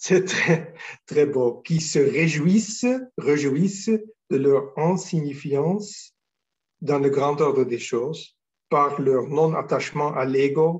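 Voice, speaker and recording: Speaking very slowly, a man leaves long, frequent pauses. His fairly high voice is somewhat breathy. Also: ordinary pitch variation. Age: 60s. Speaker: spiritual teacher. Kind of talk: spiritual talk. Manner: halting, many hesitations.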